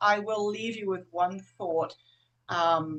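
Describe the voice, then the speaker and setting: Pitched at a medium level with ordinary pitch variation, a woman talks in a normal speaking voice. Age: 60s. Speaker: herbalist. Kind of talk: webinar panel discussion. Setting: video call.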